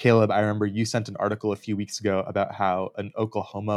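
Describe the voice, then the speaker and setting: A man with a fairly low pitch talks at a fairly quick pace in a monotone, flat delivery, on a very clean recording with a silent background and a dry, close sound with no echo. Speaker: soccer podcast co-host. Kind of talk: casual sports chat.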